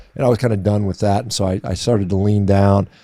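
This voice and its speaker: A man with an American accent speaks very fast, his fairly low voice dark and mellow in tone. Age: 50s. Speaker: physician and athlete. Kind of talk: interview.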